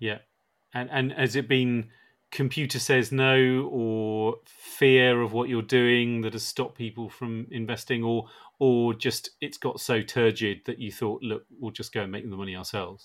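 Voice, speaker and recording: A man with a British accent, medium-pitched, speaking at a fairly slow pace with fairly even intonation, on a very clean recording with a silent background. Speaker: podcast host and editor. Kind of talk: interview.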